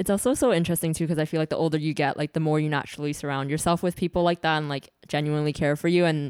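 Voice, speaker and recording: A woman with a Canadian accent, very deep and low in pitch, at a very fast pace with hardly any pauses and fairly even intonation, in a very clean, dry, close recording with no echo and a silent background. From Toronto, Canada. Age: 20s. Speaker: podcast guest. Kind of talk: casual chat.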